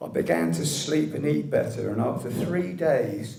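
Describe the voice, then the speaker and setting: Here a man with a British accent speaks at a fairly slow pace. His pitch swings very widely. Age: 60s. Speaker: medical cannabis patient campaigner. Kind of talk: scripted public speech.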